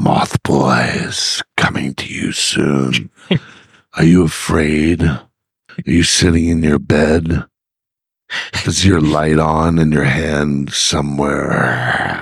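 Very slow and monotone, a man delivers a put-on character voice. His pitch is very deep and low, with flat intonation. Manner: creepy, menacing.

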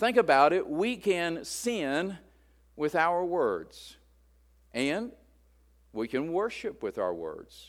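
On a very clean recording with a silent background, a man with a high voice and an American accent speaks very slowly with lively intonation and long, frequent pauses. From West Virginia. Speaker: pastor. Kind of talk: sermon. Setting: church.

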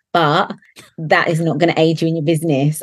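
A woman with a southern English accent talks at a fairly quick pace. Her voice is fairly low, with fairly even intonation. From southern England. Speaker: nail technician and educator. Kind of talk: interview conversation.

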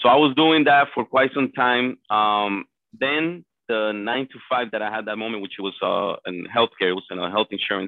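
A man speaks with a Spanish accent at a moderate pace. His pitch is medium, with ordinary variation. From Colombia. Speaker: real estate agent. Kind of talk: interview.

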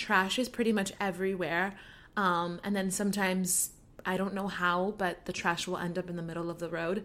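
A woman at medium pitch with an American accent and monotone, flat intonation. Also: moderate pace. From Miami, Florida. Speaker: podcast host. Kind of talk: casual monologue.

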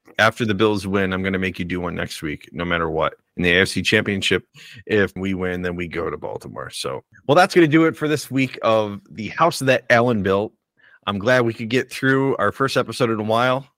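A man with an American accent talks in a plain, everyday voice, fairly low in pitch, with lively intonation at a fairly quick pace. The sound is dry and close with no echo, on a very clean recording with a silent background. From Buffalo, New York area. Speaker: sports podcast host. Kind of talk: casual chat.

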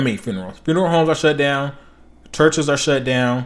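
A man with a fairly high pitch, lively intonation and a fairly quick pace. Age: 20s. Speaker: podcast host and military veteran. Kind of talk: casual solo monologue. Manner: halting, many fillers.

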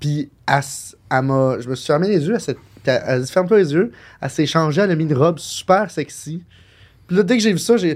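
A man with a Quebec accent talks at a fairly quick pace and fairly high pitch, with ordinary pitch variation. His speech has long, frequent pauses. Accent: Québécois French. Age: 20s. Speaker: podcast co-host. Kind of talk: casual chat.

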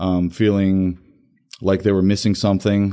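Speaking at a moderate pace with an American accent, a man has a fairly low pitch and a dark, mellow tone on a very clean recording with a silent background. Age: 30s. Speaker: firefighter recruit. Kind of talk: casual interview.

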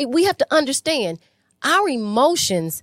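A woman speaks loudly at a moderate pace, recorded very cleanly against a silent background with a dry, close sound and no echo. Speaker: relationship podcast co-host. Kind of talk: live podcast conversation. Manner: loud and rambunctious, outspoken.

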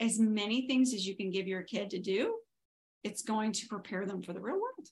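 This woman's voice is fairly high and somewhat breathy. Her pitch varies in an ordinary way. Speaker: podcast host. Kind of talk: casual chat.

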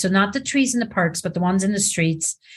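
A somewhat breathy voice against a quiet background. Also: woman. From Switzerland. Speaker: video producer. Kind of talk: casual chat.

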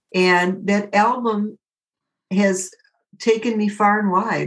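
A woman talks in a Midwestern American accent. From Detroit area, Michigan. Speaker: jazz singer. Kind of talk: interview.

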